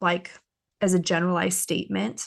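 With a quiet background, a woman speaks at a moderate pace and a medium pitch, with fairly even intonation and vocal fry. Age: 30s. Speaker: homeschooling podcast host and mother. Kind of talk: casual chat. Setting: in person at home.

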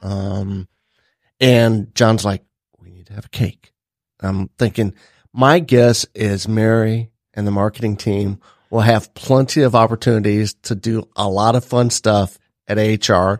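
In a very clean recording with a silent background and a dry, close sound with no echo, a man with a normal speaking voice and fairly low pitch talks at a fairly slow pace, his intonation fairly even but his loudness swinging widely. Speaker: podcast co-host. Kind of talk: casual chat.

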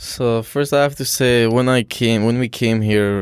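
Fairly slow speech with an Afghan accent, dry and close with no echo, on a very clean recording with a silent background. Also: man. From Afghanistan. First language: Dari Persian. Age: 20s. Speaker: college student. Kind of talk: casual interview. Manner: halting.

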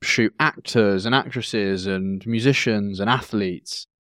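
On a very clean recording with a silent background, a man with an English accent speaks with ordinary pitch variation in a dry, close sound with no echo. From England, rural village. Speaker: podcast co-host, photographer. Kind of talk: casual chat.

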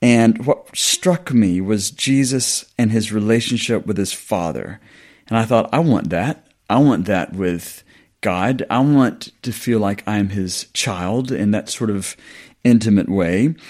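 A man speaks in a Southern US accent at a medium pitch with ordinary pitch variation on a very clean recording with a silent background. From US South. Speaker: New Testament scholar and lecturer. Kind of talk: interview, academic discussion.

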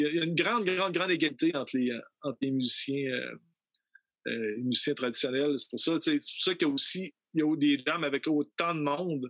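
A man's fairly high pitch at a fairly quick pace, with ordinary pitch variation. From Quebec City, Quebec. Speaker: traditional musician. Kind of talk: interview. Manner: halting.

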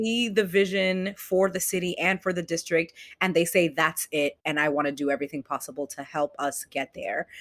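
A woman with an American accent talks at a moderate pace in a fairly low pitch, with hardly any pauses and ordinary pitch variation. Hers is an unremarkable speaking voice, on a very clean recording with a silent background. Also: dry, close sound with no echo. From Boston, Jamaica Plain. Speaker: city council candidate. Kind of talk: interview.

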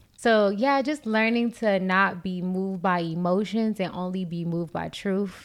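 On a very clean recording with a silent background, a woman of medium pitch talks at a moderate pace with hardly any pauses and ordinary pitch variation. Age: 20s. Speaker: podcast co-host. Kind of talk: casual chat. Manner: animated.

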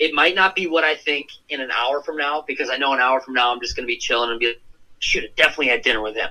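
A man with an American accent talks at a very fast pace and a fairly high pitch. His tone is bright and sharp, with ordinary pitch variation. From Minnesota, US Midwest. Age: young. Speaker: fishing YouTuber. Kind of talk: casual chat. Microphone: phone line.

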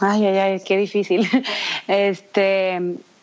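A woman of medium pitch delivers her words very slowly. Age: 30s. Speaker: fashion stylist and bridal shop founder. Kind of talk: interview.

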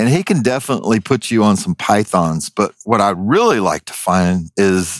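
Recorded very cleanly against a silent background, with a dry, close sound and no echo, a man talks at a fairly slow pace and a fairly low pitch. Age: 50s. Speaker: wildlife removal specialist and reality TV personality. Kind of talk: casual chat. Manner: animated.

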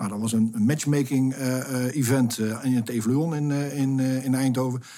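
A man speaks at a medium pitch. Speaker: project director. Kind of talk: interview. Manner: hesitant, many fillers.

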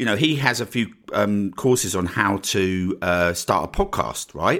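On a very clean recording with a silent background, a man speaks with lively intonation and a bright, sharp tone. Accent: Essex. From Essex, England. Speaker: podcast host and online marketing coach. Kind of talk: solo podcast monologue, casual and promotional. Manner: casual, conversational, fills with 'right?'.

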